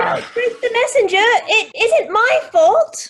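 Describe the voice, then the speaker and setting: A woman's put-on character voice, squeaky and extremely high in pitch, with lively intonation at a fairly slow pace. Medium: stage play. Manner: measured, dry.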